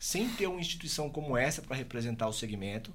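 A man's voice with vocal fry and audible room echo. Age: 30s. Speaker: podcast host. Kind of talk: interview.

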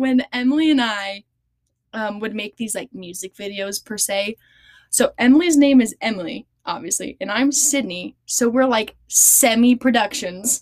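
A woman's fairly high voice at a moderate pace, with ordinary pitch variation, big swings in loudness and a dry, close sound with no echo. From Arizona. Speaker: podcast co-host, student. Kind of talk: casual chat.

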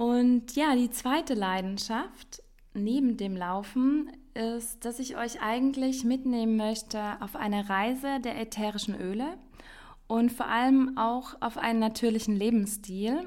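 Her voice is fairly high, with ordinary pitch variation. The woman speaks at a fairly slow pace. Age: 30s. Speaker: podcast host. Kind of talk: solo podcast monologue.

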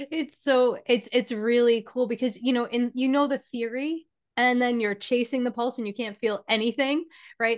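Against a quiet background, a woman with a New York accent talks at a moderate pace with a high pitch and fairly even intonation. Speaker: spiritual teacher and healer. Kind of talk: casual interview conversation.

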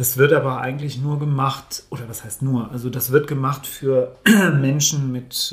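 A man talks at a moderate pace and a fairly high pitch. His voice is somewhat breathy. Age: 50s. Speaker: coach. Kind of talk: casual chat. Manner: halting.

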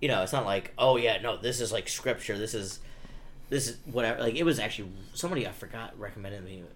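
A man with an American accent talks at a very fast pace, his fairly low voice swinging widely in loudness. The room echo is audible. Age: 30s. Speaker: comedian. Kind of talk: casual chat.

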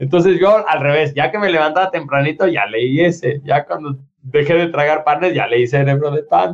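This man talks at a moderate pace with a fairly high pitch, ordinary pitch variation and hardly any pauses. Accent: Mexican. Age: 40s. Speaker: podcast co-host, instructor and author. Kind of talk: casual chat.

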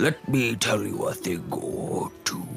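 A strained, put-on character voice at a fairly slow pace, with clear music in the background. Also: man.

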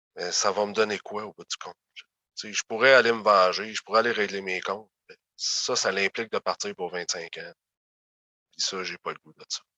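Heard dry and close with no echo, a man with a fairly low pitch and a bright, sharp tone speaks at a moderate pace, his intonation fairly even but his loudness swinging widely. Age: 30s. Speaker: former youth protection placement survivor. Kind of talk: interview testimony.

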